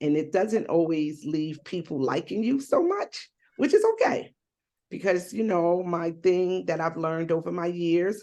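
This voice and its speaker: A woman with a fairly low pitch speaks at a fairly slow pace, with ordinary pitch variation. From New Jersey / New York. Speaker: activist and survivor advocate. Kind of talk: panel discussion.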